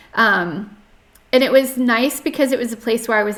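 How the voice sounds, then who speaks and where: Over music in the background, a woman with an American accent speaks at a fairly high pitch with ordinary pitch variation. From US South, North Carolina. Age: 30s. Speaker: podcast guest sharing life story. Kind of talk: interview testimony. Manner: hesitant, many fillers.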